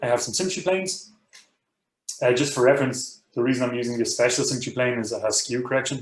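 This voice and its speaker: At a very fast pace, a somewhat breathy man speaks with ordinary pitch variation amid audible room echo. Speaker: university professor teaching a software workshop. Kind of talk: technical training tutorial. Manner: many fillers and repeated words.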